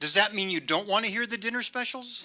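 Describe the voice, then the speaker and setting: A man speaks in a raised, projected voice. His pitch is high and his pace fairly quick. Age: 70s. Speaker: amateur stand-up comedian. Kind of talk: stand-up. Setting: stage with audience.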